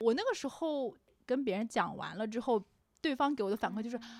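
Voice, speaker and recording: A plain, everyday voice from a woman, pitched fairly high, with ordinary variation in pitch. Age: 20s. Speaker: podcast co-host. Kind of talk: casual chat.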